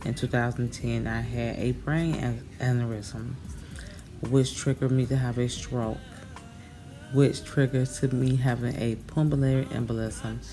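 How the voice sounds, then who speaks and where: Noticeable background noise sits behind a woman with an American accent. Her voice is very deep and low, with monotone, flat intonation. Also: moderate pace. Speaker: makeup vlogger. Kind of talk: tutorial; casual chat. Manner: halting, tongue-tied at times.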